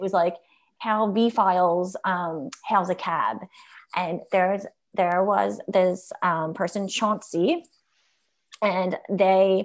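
A woman with a Philadelphia accent at a very slow pace, medium in pitch with ordinary pitch variation, against a quiet background. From Philadelphia, US. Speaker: content marketing executive. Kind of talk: casual interview.

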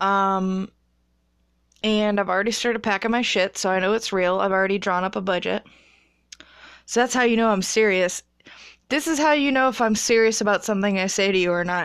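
A woman with an American accent speaks at a fairly quick pace but with long, frequent pauses. Her medium-pitched voice shows ordinary pitch variation against a quiet background. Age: 20s. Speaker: podcaster, massage therapist. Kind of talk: casual monologue. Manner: animated.

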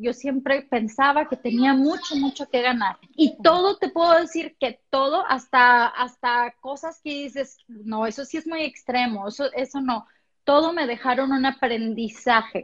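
In a Mexican accent, a woman speaks at a fairly slow pace with hardly any pauses. Her pitch is high, with ordinary pitch variation. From Mexico, Puerto Vallarta. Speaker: motivational speaker. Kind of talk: interview.

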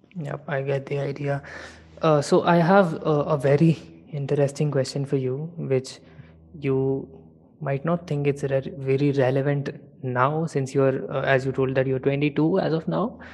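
A man's somewhat breathy voice, fairly high in pitch, with fairly even intonation at a moderate pace. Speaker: podcast host. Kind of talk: casual interview. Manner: halting, repeats words.

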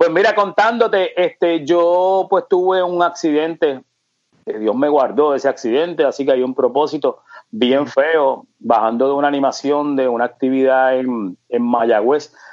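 In an unremarkable speaking voice, a man talks at a fairly slow pace with a fairly high pitch, lively intonation and very even loudness. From Puerto Rico, Ponce. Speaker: radio host. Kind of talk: interview.

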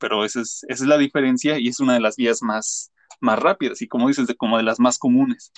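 A man speaks at a moderate pace with a Mexican accent and fairly even intonation. The background is quiet, and the sound is dry and close with no echo. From Mexico. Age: 30s. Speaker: graphic designer, immigrant. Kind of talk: casual interview.

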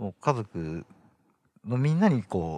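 With very wide pitch swings, a man talks at a fairly slow pace in a dry, close sound with no echo. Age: 30s. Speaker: interviewee. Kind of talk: interview.

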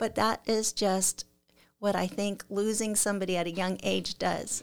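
A woman at a medium pitch speaks at a fairly slow pace with fairly even intonation, in a very clean recording with a silent background. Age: 50s. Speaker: photographer and artist. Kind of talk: casual interview chat. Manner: soft-spoken.

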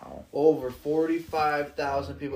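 Fairly high pitch and moderate pace from a man with an ordinary speaking voice. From western New York, Jamestown. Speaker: podcast host. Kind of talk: casual chat.

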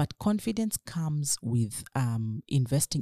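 Very deep and low, a woman's somewhat breathy voice carries a dark, mellow tone in a dry, close sound with no echo, on a very clean recording with a silent background. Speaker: equities trader. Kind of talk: interview.

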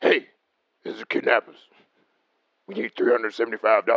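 A man puts on a raspy character voice. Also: fairly slow pace. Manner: aggressive, threatening.

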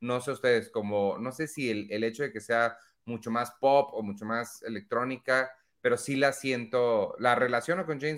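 A man talks at a fairly slow pace in an ordinary speaking voice. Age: 40s. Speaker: podcast co-host. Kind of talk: casual chat.

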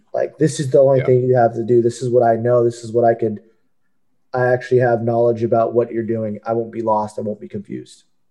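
In an American accent, a man talks very fast at medium pitch, his dark, mellow tone held in monotone, flat intonation. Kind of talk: casual panel discussion.

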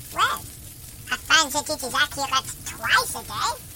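A put-on character voice, high-pitched and squeaky, speaks at a moderate pace. Light background noise can be heard.

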